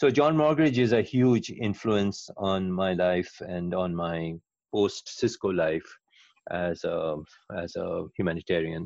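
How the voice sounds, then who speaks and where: At a very slow pace, a man speaks with a very deep, low pitch and lively intonation. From India (Kolkata). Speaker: nonprofit founder, former tech engineer. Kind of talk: interview conversation. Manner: halting, many fillers.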